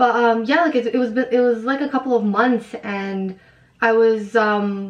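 In an ordinary speaking voice, a woman with a fairly high pitch talks with fairly even intonation. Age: 20s. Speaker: author. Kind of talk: casual chat.

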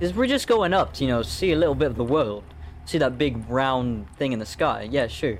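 A man with an American accent speaks at a moderate pace with vocal fry. His medium pitch swings very widely. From US South. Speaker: gaming YouTuber and podcast host. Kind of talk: casual chat while playing a video game. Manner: animated.

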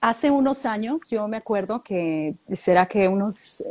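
A woman speaks with a Latin American accent. Her fairly high pitch carries lively intonation. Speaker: podcast co-host. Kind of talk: casual chat.

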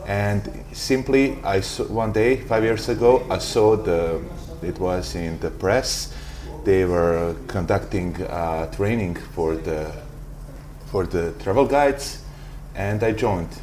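Amid noticeable background noise and audible room echo, a man speaks at a very deep, low pitch and a very slow pace with ordinary pitch variation. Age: 20s. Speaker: tour guide. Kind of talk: interview. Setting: coffee bar.

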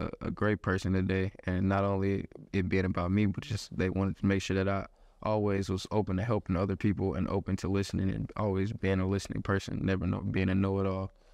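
Talking at a very fast pace, a man with a Texas accent keeps a monotone, flat intonation. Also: quiet background. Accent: Southern US (Texas). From Houston, Texas. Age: 20s. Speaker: college football player. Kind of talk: interview. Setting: football facility.

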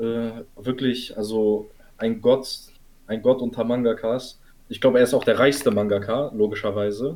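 A man speaks at a moderate pace in a medium pitch with fairly even intonation, taking long, frequent pauses over music in the background. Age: 20s. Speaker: podcast host, student. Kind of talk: casual chat.

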